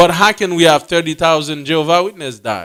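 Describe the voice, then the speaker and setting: A man's high, bright, sharp voice in a Haitian accent, at a moderate pace in a very clean recording with a silent background. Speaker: religious teacher. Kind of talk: bible class teaching.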